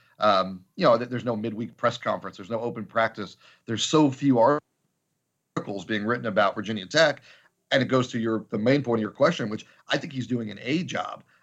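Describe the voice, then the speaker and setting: Speaking fairly quickly, a man uses an unremarkable speaking voice pitched in the medium range, with ordinary pitch variation. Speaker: sports journalist. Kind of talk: interview analysis.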